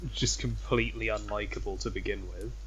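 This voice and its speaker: Audible room echo hangs around a man who talks at a moderate pace. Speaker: podcast co-host. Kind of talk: casual chat. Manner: soft-spoken.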